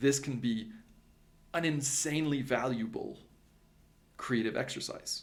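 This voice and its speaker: In a Franco-Ontarian accent, a man speaks at a fairly high pitch. His pace is moderate, with ordinary pitch variation. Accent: Franco-Ontarian Canadian English. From Canada, Ottawa (French-speaking upbringing). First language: French. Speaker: creativity coach and teacher. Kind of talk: educational talk to camera.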